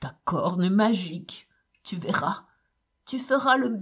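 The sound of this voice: The background is quiet. The speaker uses an unforced reading voice.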